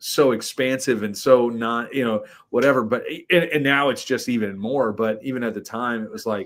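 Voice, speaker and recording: A man speaks in a plain, everyday voice at medium pitch and a moderate pace. His pitch variation is ordinary, and the recording is very clean with a silent background. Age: 30s. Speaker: podcast guest. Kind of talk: casual chat.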